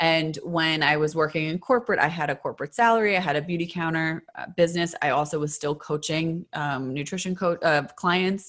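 Against a quiet background, a woman with an ordinary speaking voice talks at a fairly quick pace and fairly low pitch, with hardly any pauses. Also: ordinary pitch variation. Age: 30s. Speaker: beauty advocate and social media influencer. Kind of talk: casual interview chat.

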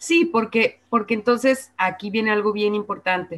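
A woman talks at a moderate pace. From Guadalajara, Mexico. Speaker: radio presenter. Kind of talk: casual interview.

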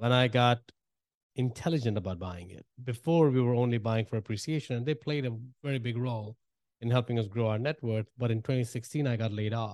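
A man with an Indian accent speaks at a fairly quick pace and a medium pitch, with ordinary pitch variation. The sound is dry and close with no echo, over a quiet background.

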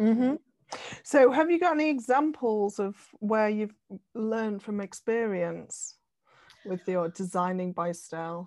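A woman speaks with a British accent and lively intonation. Her pace is fairly slow, broken by long, frequent pauses. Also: fairly high pitch for a woman. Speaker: podcast host. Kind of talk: casual interview.

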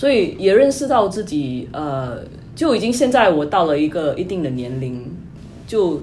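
A woman's pitch swings very widely as she talks through noticeable background noise and audible room echo. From Singapore. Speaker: tech company employee, former consultant. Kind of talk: interview.

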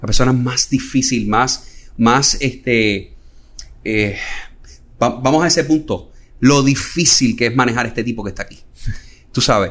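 At a fairly slow pace, a man with a medium pitch talks with ordinary pitch variation and long, frequent pauses. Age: 40s. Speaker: financial retirement planner. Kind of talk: interview conversation.

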